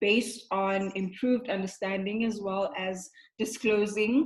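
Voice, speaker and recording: Moderate in pace, a plain, everyday voice carries fairly even intonation. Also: woman. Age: 20s. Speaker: discussion group host. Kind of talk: group discussion.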